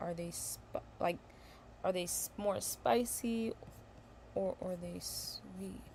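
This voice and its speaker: Pausing long and often, a woman talks at a very slow pace. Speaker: tarot reader. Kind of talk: tarot reading livestream. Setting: livestream. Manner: halting, self-correcting.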